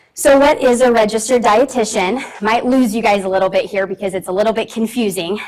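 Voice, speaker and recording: A fast-talking woman at a fairly high pitch, hardly any pauses, noticeable background noise throughout. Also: ordinary pitch variation. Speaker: registered dietitian, conference speaker. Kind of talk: presentation. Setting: conference room with audience, also on Zoom. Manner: loud.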